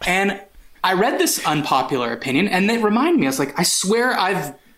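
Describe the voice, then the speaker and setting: A man talks at a very fast pace in a high pitch with lively intonation. Noticeable background noise and audible room echo fill the recording. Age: 40s. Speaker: podcast host. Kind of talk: casual chat.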